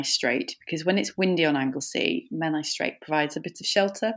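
In a very clean recording with a silent background, a woman with a Welsh accent speaks with a very deep, low pitch and ordinary pitch variation. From North Wales. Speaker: paddleboard instructor and adventurer. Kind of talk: interview.

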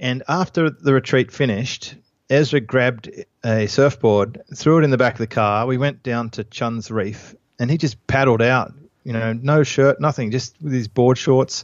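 A man with an Australian accent at medium pitch, moderate pace and fairly even intonation. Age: 40s. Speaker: entrepreneur and author. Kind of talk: interview.

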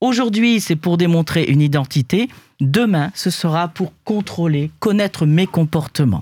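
Fairly low for a woman, her voice has a dark, mellow tone, lively intonation and very even loudness at a fairly slow pace, in a very clean recording with a silent background. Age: old. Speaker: panelist. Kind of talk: panel discussion.

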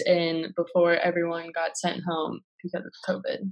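A woman with an American accent speaks in a fairly low voice, her intonation flat and monotone. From US Midwest, South Minneapolis, Minnesota. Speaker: university student. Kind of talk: interview. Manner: casual, uses many fillers.

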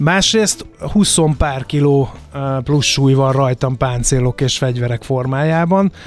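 A man with a fairly high pitch and ordinary pitch variation, at a fairly slow pace with very even loudness, over music in the background. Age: 50s. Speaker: radio host and historical reenactor. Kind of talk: interview.

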